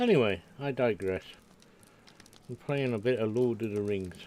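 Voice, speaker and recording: Noticeable background noise sits behind a man speaking at a moderate pace with a medium pitch. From Scotland. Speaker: game streamer. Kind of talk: casual chat. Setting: live stream. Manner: halting.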